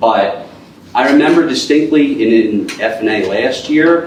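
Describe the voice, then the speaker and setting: With audible room echo and noticeable background noise, a man talks at a fairly slow pace with lively intonation. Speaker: borough council member. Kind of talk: council meeting debate. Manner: halting.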